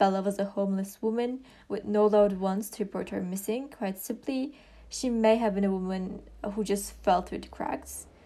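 In a very clean recording with a silent background, a woman with a non-native accent speaks at a moderate pace in a medium pitch, her intonation fairly even and her tone dark and mellow. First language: not English. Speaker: true crime podcast host. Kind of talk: scripted narration. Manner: halting, with frequent fillers and restarts.

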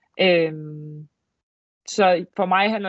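A woman speaks with monotone, flat intonation. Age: 20s. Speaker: handball player. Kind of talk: casual chat. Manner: hesitant, many fillers.

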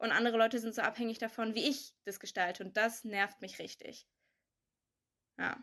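At a moderate pace and fairly high pitch, a woman speaks in a bright, sharp tone with fairly even intonation and long, frequent pauses, captured in a very clean recording with a silent background. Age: 20s. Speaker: young adult sharing pandemic experiences. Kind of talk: casual chat.

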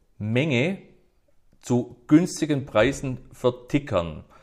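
The recording is very clean, with a silent background. A man's intonation is lively. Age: 50s. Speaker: whisky enthusiast. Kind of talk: casual interview.

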